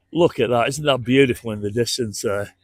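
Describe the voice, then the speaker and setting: A man speaks with a northern English accent at a moderate pace. The recording is very clean, with a silent background. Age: 60s. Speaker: travel vlogger. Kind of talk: casual vlog walk-through narration. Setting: outdoors. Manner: conversational, hesitant with fillers.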